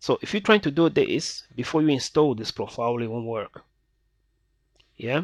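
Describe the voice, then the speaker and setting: On a very clean recording with a silent background, a man talks at a fairly high pitch with lively intonation. He keeps a moderate pace with long, frequent pauses. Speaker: software tutorial youtuber. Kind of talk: tutorial. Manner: casual, hesitant with fillers.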